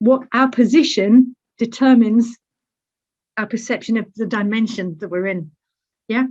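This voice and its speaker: A woman with a British accent and a fairly high, somewhat breathy voice uses ordinary pitch variation, leaving long, frequent pauses. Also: moderate pace. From Britain. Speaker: academic speaker. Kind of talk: lecture. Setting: webinar. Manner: conversational, frequent fillers.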